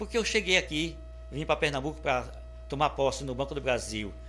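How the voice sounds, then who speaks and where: A man is speaking. Music plays in the background. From Sergipe, Brazil (Aracaju). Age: 60s. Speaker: writer and retired bank employee, interviewee. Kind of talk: interview. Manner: halting, with repetitions.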